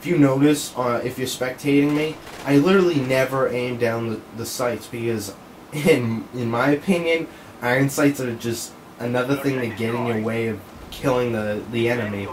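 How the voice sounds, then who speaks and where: With noticeable background noise around him, a man keeps a medium pitch, a moderate pace and ordinary pitch variation. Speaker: gaming commentator. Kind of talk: gameplay commentary. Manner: casual, profane.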